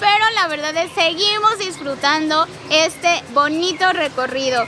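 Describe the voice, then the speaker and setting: A woman speaks in a raised, projected voice with ordinary pitch variation, the sound dry with no echo over noticeable background noise. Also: fairly slow pace. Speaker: travel vlogger. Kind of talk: travel vlog presentation. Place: garden.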